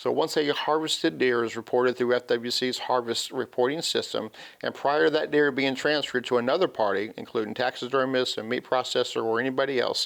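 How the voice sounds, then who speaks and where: Barely pausing, a man talks at a fairly quick pace with a medium pitch and ordinary pitch variation. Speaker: wildlife law enforcement officer. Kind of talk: TV talk show interview, explaining regulations. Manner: fast; halting, many fillers.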